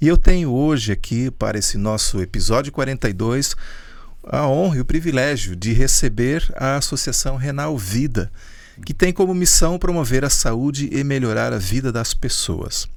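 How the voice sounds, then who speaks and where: A moderate pace and lively intonation amid audible room echo. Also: man, medium pitch for a man. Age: 50s. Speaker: podcast host. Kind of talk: podcast interview.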